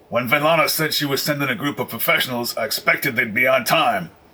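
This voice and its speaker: Growling and gruff in a put-on character voice, a man with a fairly high pitch rattles along at a very fast pace. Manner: irritated, scolding.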